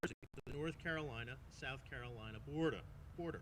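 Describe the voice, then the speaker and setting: Speaking with a Long Island accent, a man moves at a moderate pace with lively intonation. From Long Island, New York. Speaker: master of ceremonies. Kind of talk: speaker introduction.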